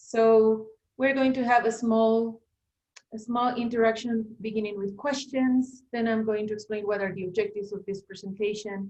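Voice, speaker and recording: A woman with a Spanish accent talks at a moderate pace in a fairly high, monotone, flat voice. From Bolivia. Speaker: language teacher and teacher trainer. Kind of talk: online workshop presentation.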